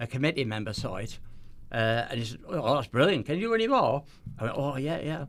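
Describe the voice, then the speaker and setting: A man with a Teesside accent talks at a very fast pace, his medium pitch moving in very wide swings. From northeast England, near Middlesbrough. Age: 70s. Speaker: magician. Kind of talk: casual chat. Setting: studio.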